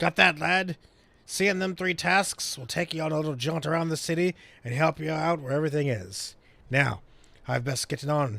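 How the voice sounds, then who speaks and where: A man puts on a raspy character voice at a fairly high pitch. He talks at a moderate pace with ordinary pitch variation. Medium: game stream. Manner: blunt, folksy, salty.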